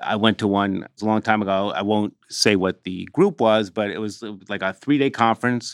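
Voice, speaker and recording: Heard in a dry, close sound with no echo and a very clean recording with a silent background, this is an unremarkable speaking voice at a fairly quick pace. The intonation stays fairly even while the loudness swings widely. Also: man, fairly low pitch for a man. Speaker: trade magazine news director and podcast co-host. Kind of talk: podcast interview. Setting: studio.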